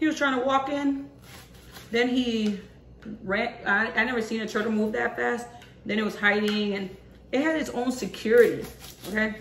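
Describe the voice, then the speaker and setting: With audible room echo, a woman speaks at a moderate pace in a fairly high pitch, her tone animated and her pitch variation ordinary, leaving long, frequent pauses. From Puerto Rico, raised partly abroad (military family). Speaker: cooking vlogger. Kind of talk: casual cooking tutorial. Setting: home kitchen. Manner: chatty, animated.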